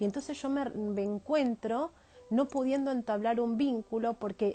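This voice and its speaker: The woman's voice shows ordinary pitch variation. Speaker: family constellation therapist. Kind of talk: live stream talk. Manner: fast.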